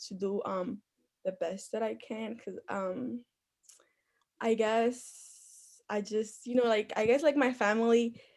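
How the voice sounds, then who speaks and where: A woman's fairly high voice with a Spanish accent and fairly even intonation. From Dominican Republic. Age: young. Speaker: youth commission applicant. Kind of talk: interview.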